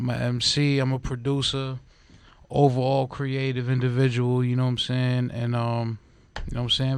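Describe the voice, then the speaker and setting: Speaking at a fairly quick clip with a New York accent, a man talks at a medium pitch. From New York City (Upper West Side, Manhattan). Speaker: rapper and producer. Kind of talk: casual chat. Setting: radio studio.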